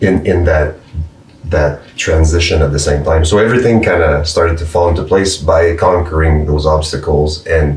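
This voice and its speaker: Against noticeable background noise, a man with a French accent speaks at a moderate pace in a very deep, low voice, his intonation fairly even. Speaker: musician. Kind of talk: casual chat. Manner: halting.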